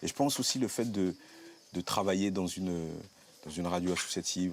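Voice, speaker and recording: Male speech at a fairly quick pace. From Normandy, France. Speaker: community radio presenter. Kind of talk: interview testimony. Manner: halting.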